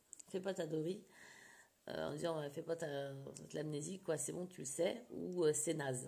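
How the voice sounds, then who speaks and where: With ordinary pitch variation, this woman's voice sits fairly low. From France, childhood abroad in the Middle East. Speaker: scrapbooking vlogger. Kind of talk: casual vlog chat. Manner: hesitant, many fillers.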